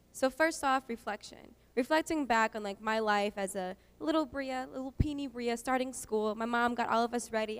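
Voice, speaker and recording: At a moderate pace, a woman speaks with an American accent. Her pitch is high, with ordinary variation. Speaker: student speaker. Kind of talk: public talk. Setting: stage with audience.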